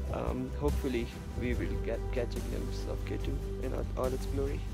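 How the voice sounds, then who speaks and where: Loud music plays behind a man speaking at a moderate pace, the sound dry with no echo. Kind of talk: casual vlog chat. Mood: awed, hopeful. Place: open country. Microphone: phone near.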